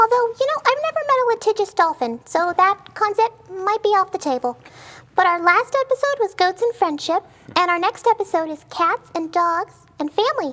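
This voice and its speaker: A squeaky, put-on character voice at an extremely high pitch and moderate pace. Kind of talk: comic overacting. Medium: comedy sketch. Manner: whimsical, offbeat.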